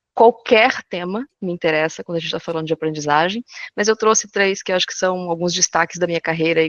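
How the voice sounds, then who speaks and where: A woman is speaking. Her pace is very fast. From southern Brazil, Florianópolis. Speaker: corporate education consultant. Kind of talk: webinar presentation. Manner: animated.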